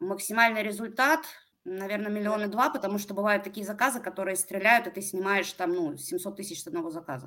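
A woman speaks fairly quickly at a medium pitch with lively intonation. Her tone is bright and sharp, with big swings in loudness. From Russia, Pskov. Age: 30s. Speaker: online marketplace seller with own production. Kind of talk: business consultation interview.

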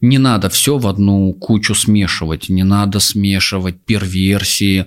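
A man speaks in a plain, everyday voice at a fairly slow pace. His pitch is fairly low and his intonation fairly even. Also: very clean recording, silent background. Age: 30s. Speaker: psychologist and sexologist. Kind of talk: casual chat.

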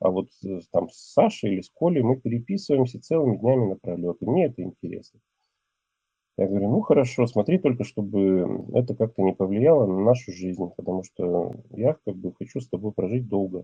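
Using a normal speaking voice, a man with a fairly low pitch talks at a moderate pace with lively intonation. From Russia, Ural region. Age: 40s. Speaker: man telling his personal story. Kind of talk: personal testimony.

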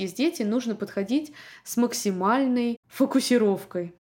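With a normal speaking voice, a woman talks at a fairly slow pace and fairly high pitch, her intonation lively. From Russia, Moscow. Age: 30s. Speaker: podcast host, immigrant mother. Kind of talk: solo podcast monologue.

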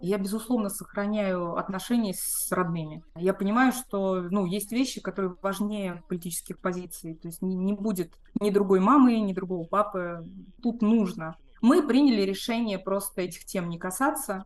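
A woman with an unremarkable speaking voice talks at a moderate pace in a medium pitch with ordinary pitch variation. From Moscow, Russia. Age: 40s. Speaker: emigrant interviewee. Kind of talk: interview testimony.

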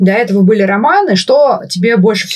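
A woman speaks fairly quickly at a medium pitch in a somewhat breathy voice. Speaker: podcast host. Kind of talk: casual interview conversation.

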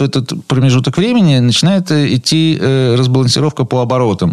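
A man's normal speaking voice, fairly high in pitch, at a fairly quick pace with ordinary pitch variation. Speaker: automotive product training director. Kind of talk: radio talk show interview. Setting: radio studio.

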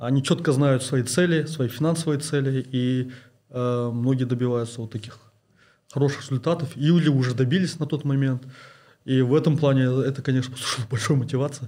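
A man's somewhat breathy voice at medium pitch with a dark, mellow tone, fairly even intonation, a fairly quick pace and long, frequent pauses, on a very clean recording with a silent background. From Kazakhstan. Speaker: investment blogger and oil and gas engineer. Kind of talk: interview. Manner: halting, many fillers.

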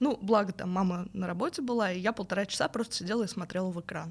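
An unremarkable speaking voice, its pitch rising and falling in a usual way. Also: woman. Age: 20s. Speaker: narrative game designer. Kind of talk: casual interview. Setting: studio.

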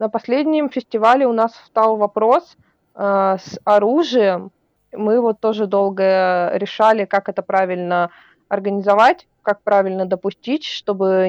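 A woman talks in a normal speaking voice at a medium pitch with ordinary pitch variation. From Russia, Vologda. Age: 20s. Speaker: cosplayer and festival organizer. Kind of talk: casual interview.

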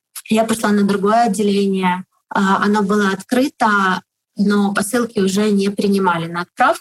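The voice is somewhat breathy with fairly even intonation. The recording sounds dry and close, without echo. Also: woman, medium pitch for a woman, moderate pace. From Ukraine, Kharkiv. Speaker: online shop owner. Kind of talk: interview. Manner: hesitant, filler sounds.

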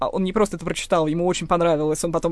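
A woman speaks at a very fast pace with a fairly low pitch. Noticeable background noise runs behind her. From Moscow. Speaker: linguist and writer. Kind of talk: personal testimony.

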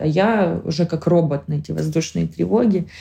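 Someone speaks at a fairly slow pace against noticeable background noise. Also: woman. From Ukraine, Kharkiv. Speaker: war refugee. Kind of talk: personal testimony.

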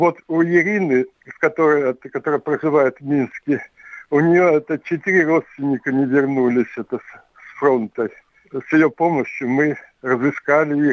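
Fairly slow and fairly even in intonation, a man speaks in a fairly high pitch. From Siberia, Omsk region. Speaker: writer and local historian. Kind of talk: interview. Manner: halting, full of filler words.

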